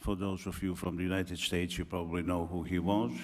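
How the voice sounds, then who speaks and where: A man talks, and audible room echo surrounds his voice. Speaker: academic speaker. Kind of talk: conference talk. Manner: slow.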